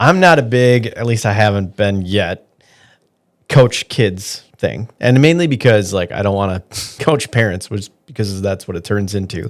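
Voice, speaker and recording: With a Wisconsin accent, a man with a fairly low pitch speaks at a moderate pace and ordinary pitch variation on a very clean recording with a silent background. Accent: Upper Midwest (Wisconsin). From Wisconsin (Green Bay area). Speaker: podcast host, loan officer. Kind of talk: podcast interview.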